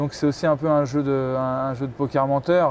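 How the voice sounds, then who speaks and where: Speaking at a fairly quick pace, a man holds a fairly high pitch in a monotone, flat intonation. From Paris region, France. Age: 20s. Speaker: professional handball player. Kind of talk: interview. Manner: hesitant, many fillers and repetitions.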